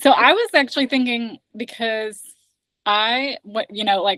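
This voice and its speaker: A woman with an American accent, fairly high pitch, a bright, sharp tone and lively intonation at a moderate pace, in a dry, close recording with no echo. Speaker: accent trainer. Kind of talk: casual chat.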